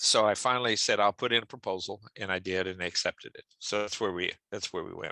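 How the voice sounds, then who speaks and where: Recorded with a dry, close sound and no echo, a man speaks at a very fast pace with hardly any pauses and big swings in loudness. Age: 70s. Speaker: structural engineering professor. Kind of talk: interview. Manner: halting.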